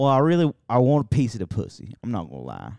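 Here is a normal speaking voice with an American accent. The intonation is lively. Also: man. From US Midwest, a city. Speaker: podcast co-host. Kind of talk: casual chat.

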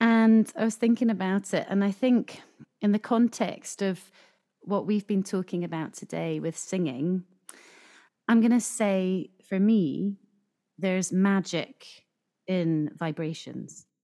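A woman's dark, mellow voice in a Scottish accent, fairly slow with long, frequent pauses, ordinary pitch variation, and a dry, close sound without echo. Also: medium pitch for a woman. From Scotland. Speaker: singer and community choir co-founder. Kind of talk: casual interview. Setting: video call.

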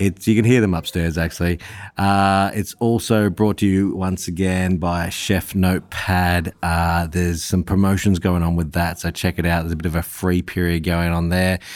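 Very deep and low-pitched, a man speaks with an Australian accent in a monotone, flat intonation. His moderate pace has hardly any pauses, and the recording is very clean with a silent background. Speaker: podcast host. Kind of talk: casual interview chat.

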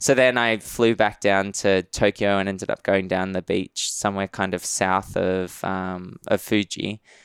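In a very clean recording with a silent background and a dry, close sound with no echo, a man with an Australian accent speaks at a fairly slow pace and fairly low pitch, in a monotone, flat intonation with hardly any pauses. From Western Sydney, Australia. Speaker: travel writer. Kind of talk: casual interview.

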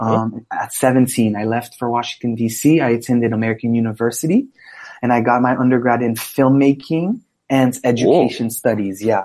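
A man speaks in a dark, mellow tone. His pace is fairly quick and his intonation fairly even. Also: medium pitch for a man. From Haiti. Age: 20s. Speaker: photographer and filmmaker. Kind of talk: casual interview.

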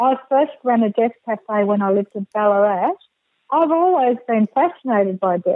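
Here a woman speaks with an Australian accent at a fairly high pitch. Her pace is moderate. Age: 60s. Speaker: counsellor and death doula. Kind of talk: interview.

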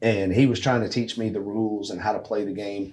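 In a normal speaking voice, a man talks at a fairly quick pace with a fairly low pitch and fairly even intonation. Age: 30s. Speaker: amateur golf tour director. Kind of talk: casual chat. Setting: golf simulator room.

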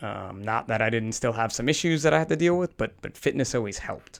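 With an American accent and an unremarkable speaking voice, a man talks at a fairly quick pace at medium pitch with lively intonation, on a very clean recording with a silent background. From New Jersey. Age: 40s. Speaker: firefighter. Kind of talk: interview. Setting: clinic treatment room.

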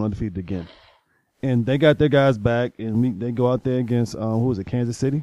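Recorded dry and close with no echo against a quiet background, a man talks at a fairly quick pace. His tone is dark and mellow, his pitch medium with ordinary variation. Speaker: co-host sports panelist. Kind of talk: casual sports chat.

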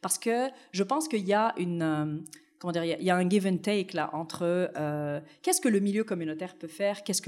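A woman with a normal speaking voice and fairly low pitch talks with lively intonation. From Tunisia, then France. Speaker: city anti-racism commissioner, researcher. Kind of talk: interview.

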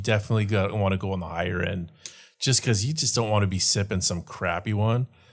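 The recording is very clean with a silent background as a man in a normal speaking voice with a fairly low pitch talks at a fairly quick pace. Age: 40s. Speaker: podcast co-host. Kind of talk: casual chat.

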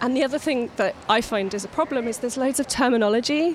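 Amid noticeable background noise, a woman with a high pitch speaks at a fairly quick pace with lively intonation. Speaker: speech therapy AAC specialist. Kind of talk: interview explaining a framework.

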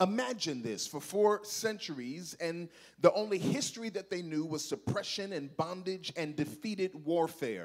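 With lively intonation and an animated tone, a man speaks in a high pitch. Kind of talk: sermon, preacher in full flow with call-and-response. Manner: animated, urgent, exhorting the crowd, rhythmic repetition; loud, fervent, prophetic.

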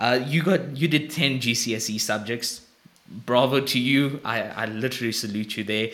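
Here is a man with a plain, everyday voice at a medium pitch. He talks at a moderate pace with ordinary pitch variation. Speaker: podcast host. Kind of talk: casual interview.

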